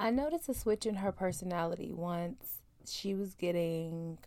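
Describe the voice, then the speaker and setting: The voice is soft-spoken with ordinary pitch variation. It moves at a moderate pace. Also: woman. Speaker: podcast host. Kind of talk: casual chat. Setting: home closet.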